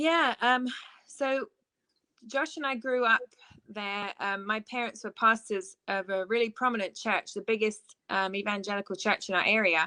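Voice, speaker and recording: With an English accent, a woman speaks at a moderate pace in a fairly high pitch with ordinary pitch variation, a bright, sharp tone, and a dry, close sound with no echo. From southeast England (Ashford, Kent). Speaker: worship leader. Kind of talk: interview. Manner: halting, with fillers.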